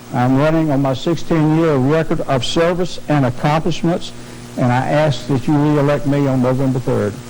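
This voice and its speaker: Speaking at a moderate pace in a Virginia accent, a man with a fairly high pitch keeps his intonation fairly even and his loudness very even, with noticeable background noise and audible room echo. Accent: southern US (Virginia Piedmont). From southern Virginia, US South. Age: 60s. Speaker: political candidate, county supervisor. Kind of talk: debate opening statement. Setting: TV studio debate.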